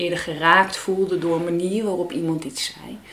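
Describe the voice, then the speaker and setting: The speaker goes at a fairly slow pace with fairly even intonation. Noticeable background noise and audible room echo fill the recording. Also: woman. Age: 50s. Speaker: parent coach, mother of child with Down syndrome. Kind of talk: interview conversation.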